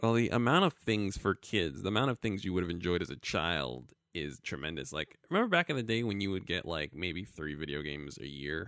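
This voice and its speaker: On a very clean recording with a silent background, a man with an American accent and a very deep, low pitch talks at a fairly quick pace with vocal fry, lively intonation and hardly any pauses. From Brooklyn, New York. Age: 30s. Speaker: podcast co-host. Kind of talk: casual chat.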